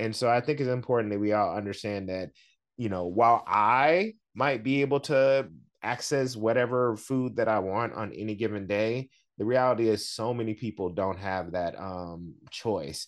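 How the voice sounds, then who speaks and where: With an American accent, a man speaks in a plain, everyday voice at medium pitch with ordinary pitch variation. His pace is moderate against a quiet background. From US South. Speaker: chef and food activist. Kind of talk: interview. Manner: frequent fillers (um, uh).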